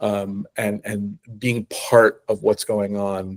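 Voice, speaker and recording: A man with a slight New England accent speaks at a medium pitch in a dry, close sound with no echo. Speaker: choral conductor and university music director. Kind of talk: interview conversation. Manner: halting, frequent fillers and repetitions.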